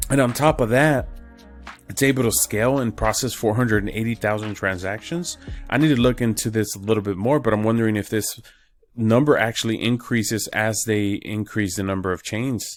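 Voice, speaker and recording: There is music in the background. A man speaks at a fairly quick pace with ordinary pitch variation. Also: medium pitch for a man. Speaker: crypto YouTuber. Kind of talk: casual explainer video. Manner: casual, filler words.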